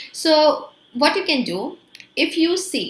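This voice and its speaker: The speech is very slow, with an Indian accent. Its pitch swings very widely. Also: woman. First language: Hindi. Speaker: English teacher. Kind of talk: tutorial.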